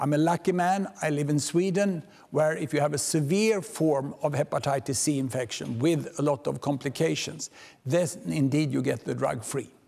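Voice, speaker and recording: At a moderate pace, a man speaks in a dark, mellow tone with ordinary pitch variation. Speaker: keynote speaker. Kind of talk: lecture. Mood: personal, warm, wry. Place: hall. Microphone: podium.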